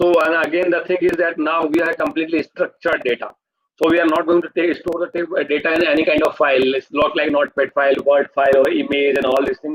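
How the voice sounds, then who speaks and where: A man's very fast speech at a fairly high pitch, with fairly even intonation and a dry, close sound with no echo. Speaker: online course instructor. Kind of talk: live online lecture.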